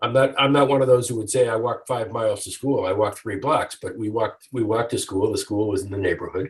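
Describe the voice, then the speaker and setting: A man speaks very fast at a medium pitch, somewhat breathy. His intonation stays fairly even. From US Midwest, Detroit. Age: 60s. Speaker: author and lawyer. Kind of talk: interview storytelling.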